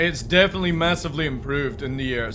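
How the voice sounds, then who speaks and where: Music plays behind the speaker, and the room echo is audible. The delivery is fairly quick, with lively intonation. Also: man. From Scotland, Midlothian near Edinburgh. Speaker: streamer. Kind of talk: live stream chat. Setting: live stream. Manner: casual, chatty.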